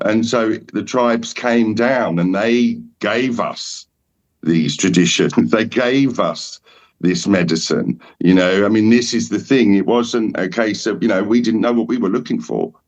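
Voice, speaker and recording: Someone speaks in an Essex accent at a fairly slow pace. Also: man. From England, Essex. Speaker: shaman. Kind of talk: casual chat. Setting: podcast roundtable.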